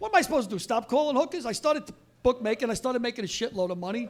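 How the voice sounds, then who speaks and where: With an American accent, a man talks at a very fast pace in an extremely high pitch, his tone animated and his intonation lively. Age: 60s. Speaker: Vietnam veteran and storyteller. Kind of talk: live storytelling on stage. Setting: stage with audience. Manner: brash, profane, animated.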